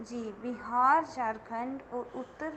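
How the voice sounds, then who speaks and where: A woman with a Dogri accent speaks in a high voice over noticeable background noise. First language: Dogri (speaking Hindi). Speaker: guest lecturer in Hindi. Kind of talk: interview. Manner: formal.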